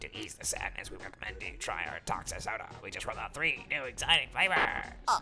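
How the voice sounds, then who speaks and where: A man at a fairly quick pace, clear music in the background. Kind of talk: corporate PR statement. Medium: virtual streamer. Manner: stiff, insincere, formal.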